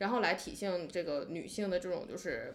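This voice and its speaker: A woman's voice with vocal fry. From Northeast China. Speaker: podcast guest discussing TV shows. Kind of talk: casual chat.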